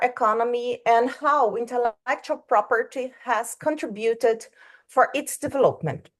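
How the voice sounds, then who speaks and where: Speaking with a Brazilian Portuguese accent, a woman has a high pitch. Her pace is fairly slow against a quiet background. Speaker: law professor. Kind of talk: academic presentation. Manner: halting.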